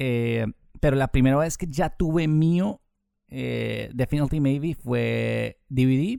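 A man with a dark, mellow tone speaks at medium pitch with lively intonation. The recording is very clean, with a silent background. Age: 30s. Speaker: journalist and radio presenter. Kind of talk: casual interview. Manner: hesitant fillers and repetitions.

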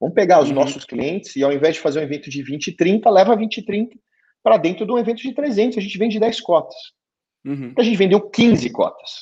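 This man speaks at a fairly quick pace with a high pitch and very wide pitch swings. His loudness rises and falls sharply against a quiet background. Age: 40s. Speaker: entrepreneur, business executive. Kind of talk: interview conversation. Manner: halting, repeats words.

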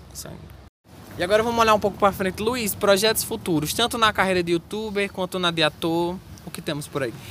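A man talks at a fairly quick pace in a high pitch for a man, his bright, sharp tone showing ordinary pitch variation and big swings in loudness. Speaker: student podcast host. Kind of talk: casual interview. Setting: outdoors in a university square.

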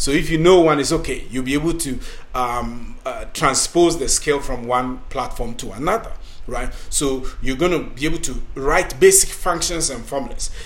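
The speaker talks at a moderate pace with an African accent. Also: man. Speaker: podcast host and career coach. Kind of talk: scripted-style talk, tutorial.

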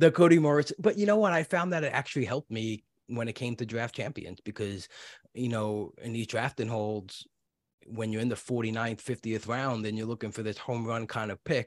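A man with a New York accent, medium pitch, ordinary pitch variation and a fairly quick pace, in a very clean recording with a silent background and a dry, close sound with no echo. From New York City (Brooklyn). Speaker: podcast host. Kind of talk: casual interview; podcast intro.

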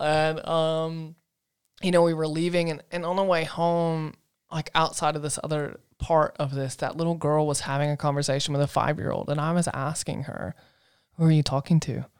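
The speaker has a Southern US accent and a moderate pace. The recording is very clean, with a silent background. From US South, Asheville, North Carolina. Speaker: podcast co-host. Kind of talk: casual chat.

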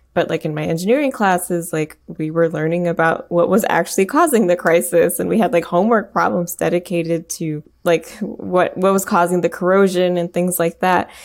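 A woman with an American accent talks in an ordinary speaking voice, fairly low in pitch, with ordinary pitch variation. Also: fairly quick pace, hardly any pauses. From US Midwest, Michigan. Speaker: composer. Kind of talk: interview.

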